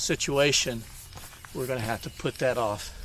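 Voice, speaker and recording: Over noticeable background noise, a man with an Alabama accent talks at a fairly slow pace, in a relaxed tone and at a medium pitch. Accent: Southern US (Alabama). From US South, North Alabama. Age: 60s. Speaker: hiking vlogger. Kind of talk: casual vlog talk while hiking. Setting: outdoors on a trail. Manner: relaxed, many hesitations.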